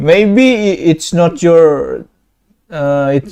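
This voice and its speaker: Very slow speech in a non-native accent carries lively intonation and a dark, mellow tone. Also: man. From Indonesia. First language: Indonesian. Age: 20s. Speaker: video chat prankster. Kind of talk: casual chat. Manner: halting.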